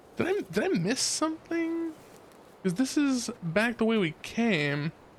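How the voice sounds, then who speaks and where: Extremely high male pitch with very wide swings, a fairly slow pace, and noticeable background noise. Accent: American. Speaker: video game streamer. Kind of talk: casual chat. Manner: casual, halting.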